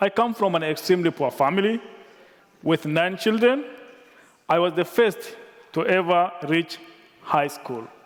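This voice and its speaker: A man with a Tanzanian accent speaks in a high voice, leaving long, frequent pauses. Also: lively intonation. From rural Tanzania. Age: 30s. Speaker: nonprofit director. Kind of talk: reading a speech. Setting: conference stage with audience. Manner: careful, deliberate.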